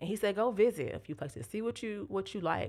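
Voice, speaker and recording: An American accent with ordinary pitch variation, in a very clean recording with a silent background. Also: woman. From US South, Tallahassee, Florida. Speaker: churchgoer sharing testimony, social worker. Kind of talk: testimony.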